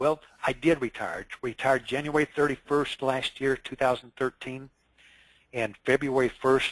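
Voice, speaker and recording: A man with a medium pitch speaks in a monotone, flat intonation at a moderate pace. The sound is dry and close with no echo. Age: 60s. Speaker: insurance consultant. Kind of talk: interview.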